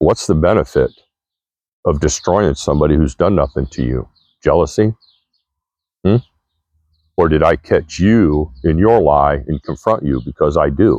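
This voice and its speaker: A man's very deep, low voice with vocal fry, lively intonation, a moderate pace and long, frequent pauses, in a dry, close sound with no echo. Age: 60s. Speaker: vlogger. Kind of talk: monologue to camera. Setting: outdoors.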